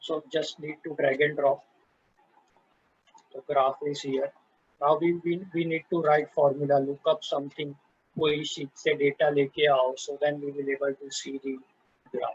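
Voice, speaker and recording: With an Indian accent, a man talks at a fairly high pitch in a somewhat breathy, monotone delivery with flat intonation, leaving long, frequent pauses, the sound dry and close with no echo. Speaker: software presenter. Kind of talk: tutorial. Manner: slow; halting.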